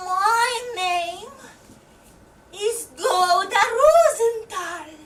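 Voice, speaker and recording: A woman does a put-on character voice at an extremely high pitch, speaking very slowly. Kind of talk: live theatre monologue.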